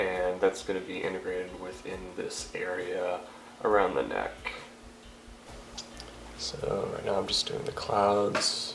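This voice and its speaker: With long, frequent pauses, a man talks at a fairly slow pace over noticeable background noise. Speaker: painter giving a painting tutorial. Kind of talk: casual tutorial talk to camera.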